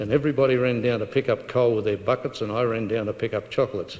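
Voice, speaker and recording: A man with an Australian accent, medium in pitch, fairly even in intonation. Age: 80s+. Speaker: prostate cancer survivor. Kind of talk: talk to a support group meeting. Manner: outgoing.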